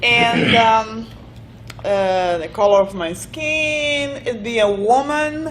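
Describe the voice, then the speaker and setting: A woman with a non-native accent speaks very slowly at a fairly high pitch with lively intonation, amid audible room echo and noticeable background noise. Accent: noticeable foreign. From Brazil, raised in Italy. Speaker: business owner. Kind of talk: interview. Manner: hesitant.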